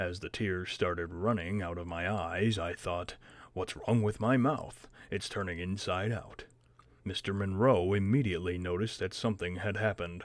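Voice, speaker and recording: A man uses a put-on character voice with a very deep, low pitch, keeping a moderate pace. The recording is very clean, with a silent background. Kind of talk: read-aloud audiobook narration. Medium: read story.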